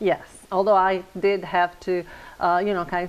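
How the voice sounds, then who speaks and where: In an Italian accent, a woman speaks at a fairly slow pace with a fairly low pitch. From Italy, Padova. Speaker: interior designer. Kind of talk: interview. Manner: hesitant, many fillers.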